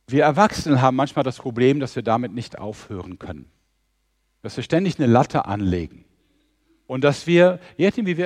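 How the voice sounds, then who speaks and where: Against a quiet background, a man at medium pitch uses lively intonation in an unremarkable speaking voice. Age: 60s. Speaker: mission organisation leader, preacher. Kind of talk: sermon.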